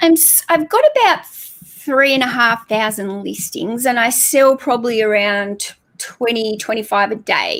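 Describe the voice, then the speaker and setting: A woman's fairly high voice in a New Zealand accent, fairly slow yet with hardly any pauses and ordinary pitch variation. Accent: sounds like New Zealand. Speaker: online book reseller. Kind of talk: livestream interview.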